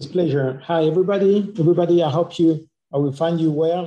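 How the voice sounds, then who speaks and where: This man has a fairly high pitch, a dark, mellow tone and a French accent. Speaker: dentist presenting clinical cases. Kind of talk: webinar presentation. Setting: online webinar.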